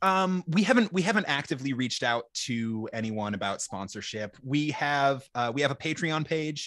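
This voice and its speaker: Hardly pausing at a moderate pace, a man with an American accent speaks at a fairly high pitch with very wide pitch swings on a very clean recording with a silent background. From Minnesota. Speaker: podcast host. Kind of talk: casual chat.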